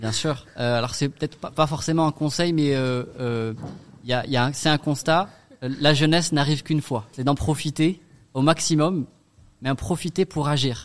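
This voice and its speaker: A man uses an ordinary speaking voice, talking at a moderate pace. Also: fairly high pitch for a man, ordinary pitch variation. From Strasbourg, Alsace, France. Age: 30s. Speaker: association founder. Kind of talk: radio interview.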